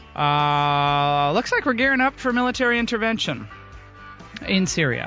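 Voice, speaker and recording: Over music in the background, a woman with a medium pitch speaks at a fairly slow pace, her pitch swinging very widely. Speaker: talk radio host. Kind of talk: talk radio host commentary.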